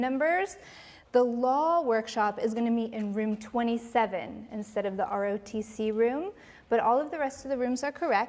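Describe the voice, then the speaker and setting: This woman has a normal speaking voice, fairly high in pitch with ordinary pitch variation. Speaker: program coordinator. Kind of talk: announcements. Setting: auditorium with audience. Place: hall. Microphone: handheld.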